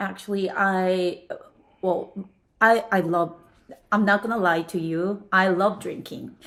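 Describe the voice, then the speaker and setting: A woman with a Korean accent speaks at a medium pitch and a fairly slow pace, her intonation fairly even and broken by long, frequent pauses. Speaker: podcast guest. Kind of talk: casual chat. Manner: halting.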